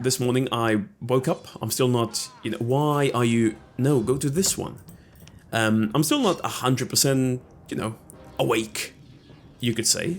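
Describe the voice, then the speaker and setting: The speech moves at a fairly slow pace with long, frequent pauses and ordinary pitch variation, while music plays in the background. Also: man, medium pitch for a man. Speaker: gaming video creator. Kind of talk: let's play commentary.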